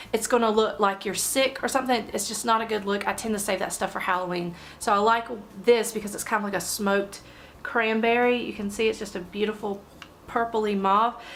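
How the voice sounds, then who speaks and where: A woman speaks in a monotone, flat intonation. Noticeable background noise runs behind her. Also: fairly high pitch for a woman, fairly quick pace. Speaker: beauty vlogger. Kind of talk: makeup tutorial talk to camera.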